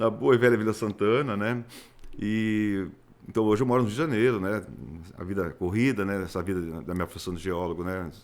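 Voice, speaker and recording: A man with an unremarkable speaking voice, fairly low pitch, ordinary pitch variation, and a fairly quick pace. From Brazil, Sorocaba (São Paulo state). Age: 60s. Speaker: geologist. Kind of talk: interview.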